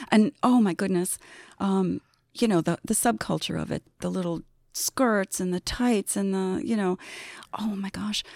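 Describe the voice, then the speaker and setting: In a dry, close sound with no echo, a woman with an unremarkable speaking voice talks at a medium pitch and a fairly slow pace with ordinary pitch variation. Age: 60s. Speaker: agency accounting director. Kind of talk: casual interview. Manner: laughs often.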